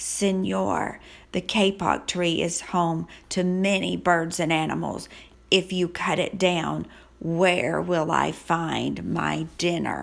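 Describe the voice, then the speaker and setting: A woman puts on a character voice, growling and raspy at a fairly low pitch. She drags it out at a very slow pace. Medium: read story.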